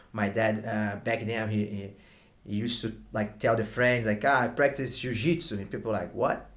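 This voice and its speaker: A man is speaking, his pitch in the middle range. The rise and fall of his voice is fairly even. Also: moderate pace. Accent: Brazilian. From Brazil. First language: Portuguese. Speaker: martial arts instructor. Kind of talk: interview. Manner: halting.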